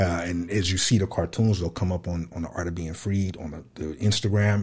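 The voice is somewhat breathy. This man's speech moves at a fairly quick pace. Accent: American. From Fresno, California. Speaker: podcaster and artist. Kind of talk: interview.

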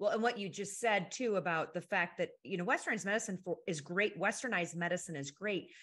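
A woman with a normal speaking voice and medium pitch talks at a fairly quick pace with lively intonation. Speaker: podcast co-host. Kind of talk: interview conversation.

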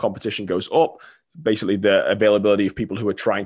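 A man's fairly low voice in a Mancunian accent at a very fast pace, ordinary pitch variation, quiet background. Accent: Manchester English. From England, Manchester. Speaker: marketing consultant. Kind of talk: podcast interview.

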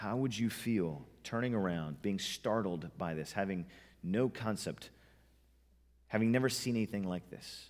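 His pace is moderate, and this man's pitch varies ordinarily. The background is silent on a very clean recording. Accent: American. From US West (Montana, Southern California). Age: 30s. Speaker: pastor. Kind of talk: sermon. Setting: church.

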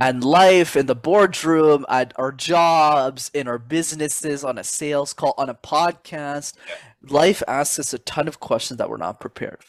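In a Canadian accent, a man with an unremarkable speaking voice and a fairly high pitch talks with ordinary pitch variation on a very clean recording with a silent background and a dry, close sound with no echo. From Montreal, Canada. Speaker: public speaking coach. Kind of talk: interview.

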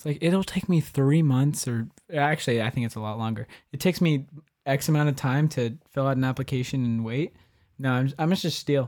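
In an ordinary speaking voice, a man talks at a fairly quick pace with a fairly high pitch and ordinary pitch variation. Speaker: podcast guest. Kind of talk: casual chat.

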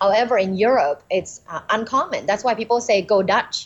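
A woman with a Thai accent at a moderate pace, with ordinary pitch variation. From Thailand. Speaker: communication professor. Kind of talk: podcast interview.

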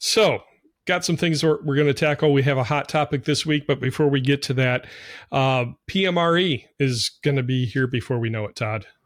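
On a very clean recording with a silent background, a man with a fairly high pitch speaks at a moderate pace in a normal speaking voice with ordinary pitch variation. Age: 40s. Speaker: podcast host. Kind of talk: casual chat.

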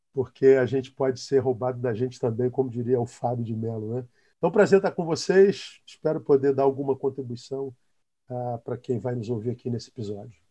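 Somewhat breathy, a man talks at a fairly quick pace with a dark, mellow tone. His pitch is medium, with ordinary variation. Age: 50s. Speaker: pastor. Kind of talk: casual chat.

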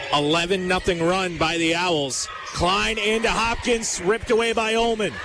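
A man projects a raised, high-pitched voice at very even loudness. Noticeable background noise sits behind him. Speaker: basketball play-by-play announcer. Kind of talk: live sports commentary, play-by-play. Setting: gym broadcast, live radio game. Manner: rapid, fluent play-by-play with brisk, clipped sentences.

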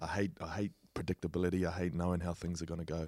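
In a very clean recording with a silent background, a man with a New Zealand accent speaks at a fairly quick pace, his pitch very deep and low and his tone dark and mellow. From New Zealand, Auckland. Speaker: rugby league player. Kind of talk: casual chat.

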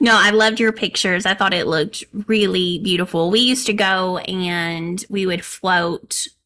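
In an Arkansas accent, a woman talks at a moderate pace with hardly any pauses. Her tone is bright and sharp, with fairly even intonation. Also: medium pitch for a woman. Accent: Arkansas southern US. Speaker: knitting podcast co-host. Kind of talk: casual chat.

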